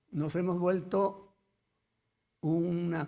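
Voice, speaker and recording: A man at a very slow pace. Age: 80s+. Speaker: notary. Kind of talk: audience comment.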